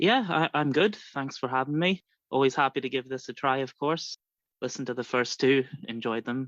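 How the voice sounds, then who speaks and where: Against a quiet background, a man with an American accent speaks at a medium pitch and a moderate pace, with ordinary pitch variation. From Ireland, border area north and south. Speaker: fantasy wrestling handler. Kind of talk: casual podcast interview.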